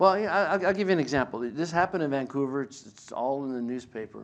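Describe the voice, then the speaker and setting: Lively intonation in a man's voice of medium pitch. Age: 60s. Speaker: biblical scholar and lecturer. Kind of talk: lecture. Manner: halting.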